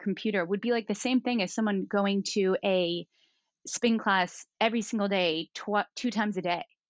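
A woman talks in an unremarkable speaking voice at medium pitch. Her pace is moderate and her pitch variation ordinary. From Southern California. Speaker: fitness instructor. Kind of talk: casual interview chat.

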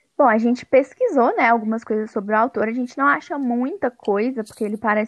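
With lively intonation, a woman's voice rises to a high pitch. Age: 20s. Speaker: podcast co-host. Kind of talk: casual chat.

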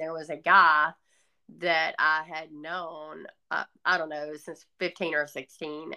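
A woman with a Southern US accent, fairly low pitch, and a bright, sharp tone. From US South. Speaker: author. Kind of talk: testimony.

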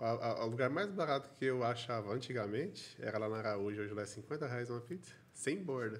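With audible room echo, a man at a medium pitch talks at a moderate pace, his intonation lively and his speech with hardly any pauses. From Caldas Novas area, Goiás, Brazil. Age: 30s. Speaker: podcast host. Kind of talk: podcast interview.

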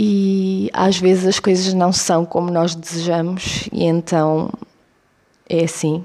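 Speaking very slowly, a woman keeps a fairly low pitch and very even loudness. Her intonation is monotone and flat. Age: 20s. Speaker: podcast host. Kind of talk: solo monologue podcast. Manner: halting.

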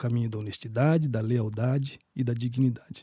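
Somewhat breathy, a man with a dark, mellow tone and medium pitch speaks at a moderate pace in a dry, close sound with no echo. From Brazil, Campo Grande (Mato Grosso do Sul). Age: 40s. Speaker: municipal human rights official. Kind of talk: interview.

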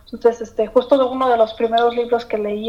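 Over noticeable background noise, a woman speaks in a fairly high pitch. Her intonation stays monotone and flat. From Mexico. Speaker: employee of the guest's company. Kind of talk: interview.

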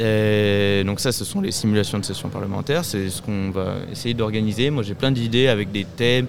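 A man with a fairly low voice talks with hardly any pauses, and the recording has audible room echo and noticeable background noise. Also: ordinary pitch variation, moderate pace. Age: young. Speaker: youth association volunteer. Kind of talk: interview. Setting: live event. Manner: halting.

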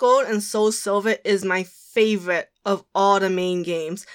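Here is a woman with an ordinary speaking voice at a medium pitch. She talks at a fairly slow pace. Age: 20s. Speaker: podcast co-host. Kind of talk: casual chat.

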